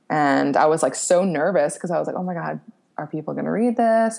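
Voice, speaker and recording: Speaking very fast, a woman with an American accent shows vocal fry. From US Northeast, suburbs of Philadelphia. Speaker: recovering alcoholic and sobriety blogger. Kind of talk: testimony. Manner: animated.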